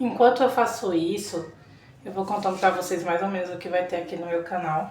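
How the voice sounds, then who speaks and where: Audible room echo and noticeable background noise surround a woman with a fairly low pitch. Her pace is moderate and her pitch variation ordinary. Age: 30s. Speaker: vlogger. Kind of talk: casual vlog talk.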